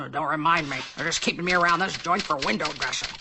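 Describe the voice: In a cartoonish character voice at a middle pitch, the speaker races along at a very fast pace over clear background noise.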